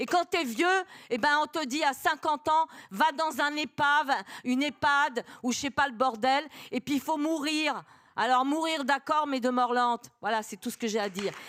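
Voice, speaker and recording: Animated in tone, a woman talks at a high pitch and moderate pace. The sound is dry and close, with no echo. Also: ordinary pitch variation, very clean recording, silent background. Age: 60s. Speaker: audience member. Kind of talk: audience question, impassioned remarks.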